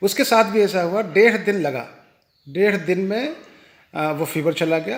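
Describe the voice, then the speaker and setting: This man's pitch varies in an ordinary way. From India, Bihar (Patna). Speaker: diabetes educator. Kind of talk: testimony. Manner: halting, many fillers.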